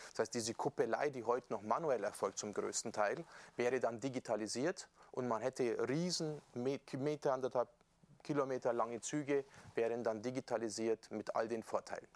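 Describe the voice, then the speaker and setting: In a dry, close sound with no echo, a normal speaking voice moves at a moderate pace with ordinary pitch variation. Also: man, medium pitch for a man. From Bavaria, Upper Palatinate (Amberg). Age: 40s. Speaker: member of European Parliament. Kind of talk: casual interview. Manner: relaxed.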